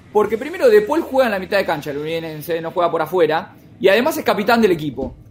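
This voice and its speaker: Very wide pitch swings at a very fast pace, over noticeable background noise. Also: man, high pitch for a man. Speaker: football columnist. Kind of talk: casual chat.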